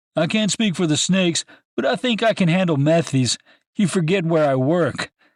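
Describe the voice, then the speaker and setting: Using a put-on character voice, a man speaks at a high pitch with very even loudness in a dry, close sound with no echo on a very clean recording with a silent background. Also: moderate pace. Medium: read story. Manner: cocky, joking.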